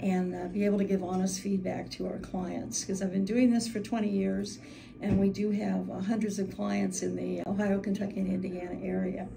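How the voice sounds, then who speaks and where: A woman speaks at a fairly quick pace amid noticeable background noise and audible room echo. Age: 70s. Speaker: Medicare agent. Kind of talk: testimony.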